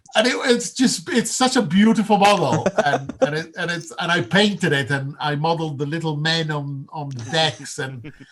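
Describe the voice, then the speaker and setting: A man with an Italian accent speaks in a fairly high pitch with lively intonation. He barely pauses, over noticeable background noise. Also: moderate pace. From Italy. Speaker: game designer. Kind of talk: casual chat. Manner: halting.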